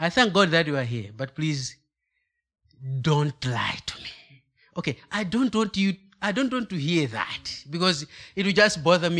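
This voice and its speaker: Bright and sharp in tone, a man with a Malawian accent speaks at a high pitch and a moderate pace with lively intonation. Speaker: guest preacher. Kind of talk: sermon. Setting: church. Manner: halting, hesitant.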